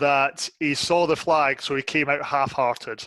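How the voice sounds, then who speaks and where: Bright and sharp in tone, a man with a Scottish accent is heard in a very clean recording with a silent background. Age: 30s. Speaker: football fan pundit. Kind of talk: casual chat.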